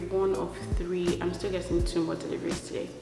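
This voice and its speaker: Clear music plays in the background as the moderate-paced speech carries audible room echo. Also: woman. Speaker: vlogger. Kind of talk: casual vlog chat. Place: home room. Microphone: camera far.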